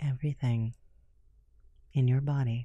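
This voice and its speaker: A woman speaks slowly in a very deep, low pitch with a dark, mellow, somewhat breathy tone and flat, monotone intonation. The background is quiet and the sound is dry with no echo. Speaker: podcast guest. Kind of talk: casual talk to camera. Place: studio. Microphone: studio mic.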